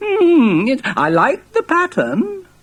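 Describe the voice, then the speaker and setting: A mumbling put-on character voice with very wide pitch swings. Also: woman, high pitch for a woman. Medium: read story. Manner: mumbling, hesitant.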